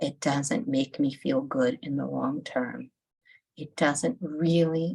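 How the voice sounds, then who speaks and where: Her pitch is very deep and low, with vocal fry throughout. The woman speaks at a very slow pace. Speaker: holistic nutritionist and EFT tapping guide. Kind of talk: guided EFT tapping session.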